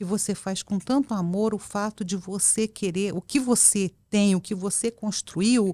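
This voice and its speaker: In a very clean recording with a silent background and a dry, close sound with no echo, a woman speaks at a fairly slow pace with hardly any pauses, her medium-pitched voice dark and mellow in tone with fairly even intonation. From central Brazil, Goiânia (born in Porto Velho). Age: 60s. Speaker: public official, women's rights activist. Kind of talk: casual interview chat. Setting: podcast studio. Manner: talkative.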